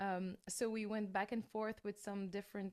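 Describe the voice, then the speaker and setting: A woman with a French accent speaks at a medium pitch in a monotone, flat intonation. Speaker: metal singer. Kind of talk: interview. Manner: halting, with many fillers and repeated words.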